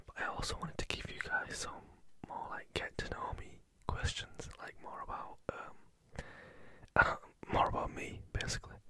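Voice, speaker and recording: Someone whispers with long, frequent pauses. Background noise is noticeable. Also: moderate pace. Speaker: ASMR creator. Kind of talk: casual Q&A talk to camera. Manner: whispered.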